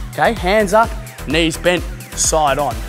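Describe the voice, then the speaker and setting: A man speaks over clear music in the background. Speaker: fitness instructor. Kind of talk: workout instruction, coaching. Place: gym.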